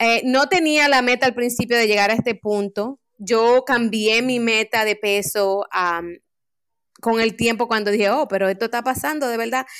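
A normal speaking voice with ordinary pitch variation keeps a moderate pace on a very clean recording with a silent background. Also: woman, fairly high pitch for a woman. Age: 40s. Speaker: life coach and community program strategist. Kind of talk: podcast interview.

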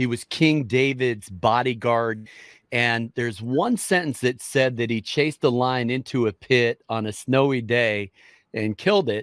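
In a normal speaking voice, a man talks at a fairly slow pace with medium pitch and ordinary pitch variation, the sound dry and close with no echo and the recording very clean against a silent background. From US Midwest, Minnesota. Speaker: pastor. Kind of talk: interview.

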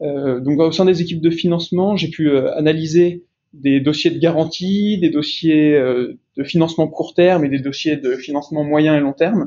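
This man's voice is fairly high in pitch, and his delivery comes at a fairly slow pace. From France, Lyon. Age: 20s. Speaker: junior private equity investment officer. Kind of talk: interview. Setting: remote recording. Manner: halting, repeats words.

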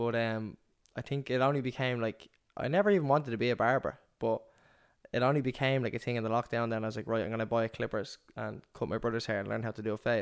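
A man with an Irish accent talks at a very fast pace, with fairly even intonation. The recording is very clean, with a silent background. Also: medium pitch for a man. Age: 20s. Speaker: podcast co-host, barber and entrepreneur. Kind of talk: casual chat.

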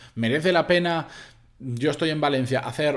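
A man speaks with ordinary pitch variation. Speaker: podcast host. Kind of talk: solo podcast monologue.

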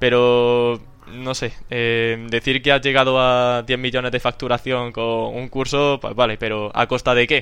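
A man with a Castilian accent talks at medium pitch in a monotone, flat intonation, with hardly any pauses. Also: fairly slow pace. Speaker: podcast host. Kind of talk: casual chat.

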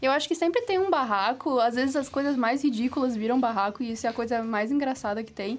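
A woman talks at a very fast pace in a high pitch. Her pitch varies in an ordinary way. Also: hardly any pauses. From Florianópolis, southern Brazil. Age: 20s. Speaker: university student, roundtable panelist. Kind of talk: casual roundtable chat.

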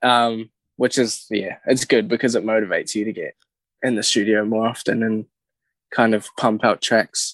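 A man speaks with a New Zealand accent at a medium pitch and a moderate pace, in a monotone, flat intonation. The sound is dry and close with no echo, over a quiet background. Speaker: singer-songwriter. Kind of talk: casual chat.

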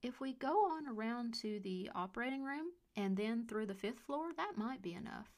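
A woman with a fairly high pitch, lively intonation, a somewhat breathy quality and an animated, playful tone. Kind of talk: ghost story reading. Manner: slow, eerie, chatty; gently animated, playful.

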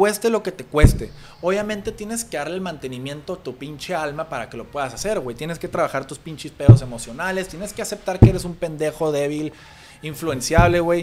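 Over music in the background, a man talks at a fairly high pitch and a fairly quick pace. His intonation is lively, and his loudness swings widely. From Tijuana, Mexico. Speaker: businessman. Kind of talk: casual chat.

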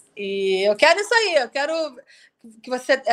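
A woman with a high pitch and a bright, sharp tone is heard on a very clean recording with a silent background. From Rio de Janeiro, Brazil. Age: 40s. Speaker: student moving to a rural smallholding. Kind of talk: casual interview.

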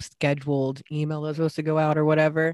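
A woman with a very deep, low pitch at a fairly quick pace, the sound dry and close with no echo. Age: 30s. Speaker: podcast co-host. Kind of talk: casual chat.

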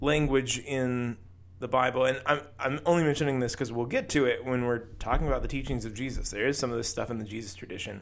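Pitched in the medium range, a man's voice rushes along at a very fast pace with fairly even intonation. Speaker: podcast co-host. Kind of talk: casual chat about faith.

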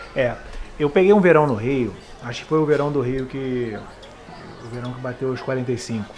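A man of medium pitch speaks at a moderate pace, with ordinary pitch variation, big swings in loudness, and long, frequent pauses. Audible room echo and noticeable background noise fill the recording. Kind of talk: casual chat, storytelling.

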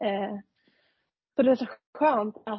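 A woman speaks at a fairly high pitch with a non-native accent. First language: not Swedish (speaking Swedish). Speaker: podcast co-host, junior doctor. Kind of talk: casual chat.

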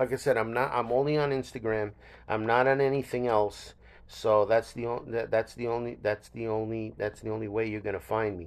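A man of medium pitch talks at a fairly quick pace with fairly even intonation. The background is quiet. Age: 60s. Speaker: podcast host. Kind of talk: casual solo monologue. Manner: halting, many fillers.

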